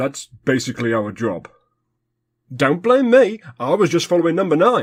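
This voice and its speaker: A man does a put-on character voice at a fairly high pitch with very wide pitch swings, keeping a moderate pace. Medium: comedy sketch. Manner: bickering, petulant.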